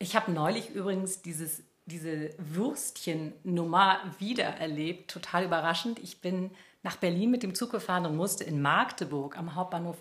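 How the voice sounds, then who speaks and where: A woman speaks at medium pitch and a moderate pace, sounding somewhat breathy. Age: 50s. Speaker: journalist and podcast co-host. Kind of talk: casual chat.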